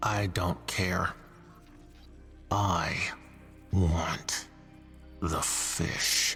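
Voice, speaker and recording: A man growls in a put-on character voice pitched very deep and low, with clear music in the background. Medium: video game.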